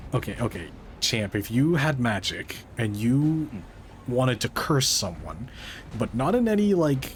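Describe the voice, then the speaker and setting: Music plays in the background as a man speaks at a medium pitch with very wide pitch swings and very even loudness. His pace is fairly slow, broken by long, frequent pauses. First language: not English. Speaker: VTuber gaming streamer. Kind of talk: casual chat while gaming. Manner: animated.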